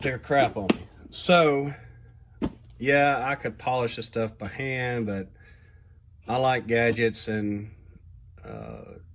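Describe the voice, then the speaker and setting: Speaking at a very slow pace, this man has a medium pitch and ordinary pitch variation. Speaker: custom model builder, video maker. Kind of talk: workshop tutorial. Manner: casual, with fillers.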